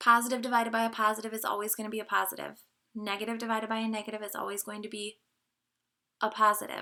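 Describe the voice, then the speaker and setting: With a bright, sharp tone and a fairly high pitch, a woman speaks at a very fast pace in a monotone, flat delivery while her loudness swings widely. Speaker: math teacher. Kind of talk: lecture. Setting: home basement.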